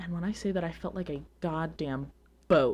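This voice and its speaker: A woman with an unremarkable speaking voice and an American accent, fairly low in pitch with ordinary pitch variation, at a fairly quick pace, in a very clean recording with a silent background. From US Northeast (Long Island, New York). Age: 20s. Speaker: podcast host. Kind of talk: casual chat.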